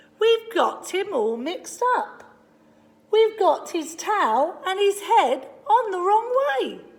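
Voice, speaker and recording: A woman does a put-on character voice at an extremely high pitch. She speaks at a very slow pace. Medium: read story. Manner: bright, eager.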